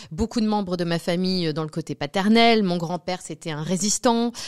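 Against a quiet background, a woman talks in a fairly low voice with ordinary pitch variation. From Normandy, France. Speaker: medium. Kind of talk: interview. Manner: hesitant, many fillers. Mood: reflective, personal. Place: studio. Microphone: studio mic.

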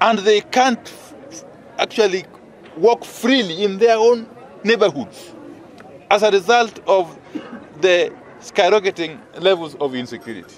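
A man with a high pitch and lively intonation talks at a fairly slow pace with long, frequent pauses, the sound dry with no echo over light background noise. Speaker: politician addressing press. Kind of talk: press statement. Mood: firm, concerned. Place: street.

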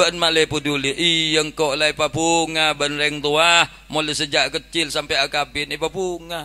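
A man with a Madura accent talks at a fairly slow pace and a fairly high pitch. His tone is bright and sharp, his intonation monotone and flat. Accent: Madurese-accented Indonesian. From Indonesia. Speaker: Islamic preacher. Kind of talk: humorous sermon. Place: tent. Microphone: handheld.

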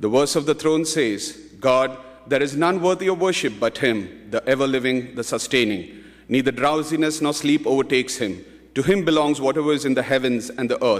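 Speaking at a fairly quick pace, a man shows ordinary pitch variation against a quiet background. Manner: earnest, reverent, devout, with a rhythmic, pleading cadence; formal, measured, fervent. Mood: solemn, calm. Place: hall. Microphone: podium.

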